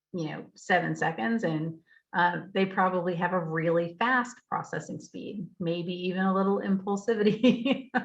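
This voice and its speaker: A woman speaks fairly slowly at a medium pitch, somewhat breathy. Her pitch varies in an ordinary way. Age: 50s. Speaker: educator speaking about reading and processing speed. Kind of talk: casual, conversational.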